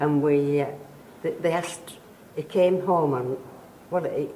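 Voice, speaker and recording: A woman's very deep, low pitch with monotone, flat intonation over noticeable background noise. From Yorkshire, England. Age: 80s+. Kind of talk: interview answer.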